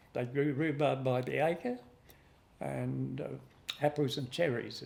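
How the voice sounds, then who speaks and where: At a fairly slow pace, a man talks with an Australian accent. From South Australia, Adelaide Hills. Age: 80s+. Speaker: fruit grower. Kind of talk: interview reminiscence. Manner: halting.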